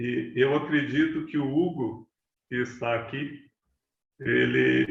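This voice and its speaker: The somewhat breathy voice of this man sits at a medium pitch. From Brazil, Belo Horizonte, Minas Gerais. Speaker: meditation teacher. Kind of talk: talk to online audience.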